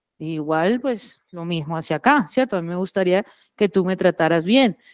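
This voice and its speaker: A woman speaks with a Caribbean Colombian accent and ordinary pitch variation against a quiet background. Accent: Caribbean coastal Colombian. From Colombian Caribbean coast, Santa Marta. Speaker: businesswoman, plastics recycling company manager; guest. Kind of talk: lecture; conference talk and panel answer. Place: hall.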